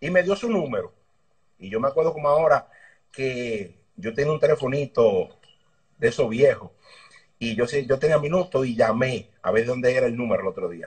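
In a Dominican accent, a man speaks with a fairly high, somewhat breathy voice and lively intonation. His pace is moderate, with long, frequent pauses. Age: 30s. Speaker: motorbike racing mechanic. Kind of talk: interview.

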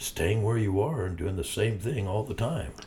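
Somewhat breathy and fairly low, this man's voice has a dark, mellow tone and lively intonation. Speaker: podcast co-host. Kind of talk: casual chat.

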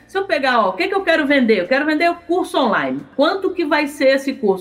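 A woman's voice with very wide pitch swings, music in the background. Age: 50s. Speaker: digital marketing entrepreneur and teacher. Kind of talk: podcast interview.

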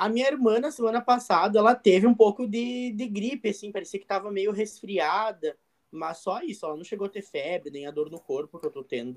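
A man's high-pitched voice, fairly quick and with hardly any pauses, full of lively intonation and big swings in loudness. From Rio Grande do Sul, Brazil (northwest interior). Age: 20s. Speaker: university student. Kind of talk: role-play medical consultation practice.

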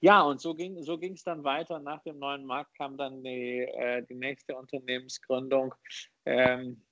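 Pitched fairly high, a man speaks in an unremarkable speaking voice at a fairly slow pace. His intonation is fairly even, and the sound is dry and close with no echo. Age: 40s. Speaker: investor and author. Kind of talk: interview.

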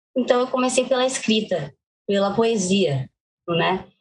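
Her voice is somewhat breathy and fairly high-pitched for a woman. Her pitch swings very widely. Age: 20s. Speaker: poet, singer and actress. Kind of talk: interview.

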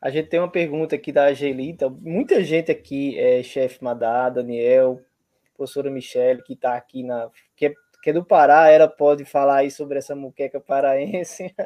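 At a moderate pace, a man with a normal speaking voice talks at a fairly high pitch with fairly even intonation. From Brazil, Paraíba. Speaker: university professor. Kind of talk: online event hosting.

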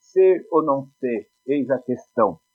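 A man is speaking. Music plays in the background. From Brazil, Poá (São Paulo state). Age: 50s. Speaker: philosophy teacher. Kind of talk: casual chat.

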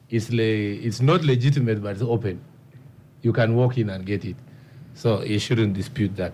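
Long, frequent pauses break up a man's somewhat breathy speech at a moderate pace. His medium-pitched voice has a dark, mellow tone and ordinary pitch variation. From Uganda, Karamoja region (Karenga district). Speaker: member of parliament. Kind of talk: radio panel discussion. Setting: studio.

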